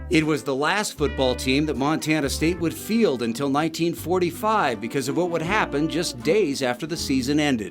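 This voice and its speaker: A man talks at a moderate pace with hardly any pauses over music in the background. His voice is fairly high, with lively intonation. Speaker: TV news reporter. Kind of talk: TV news feature narration.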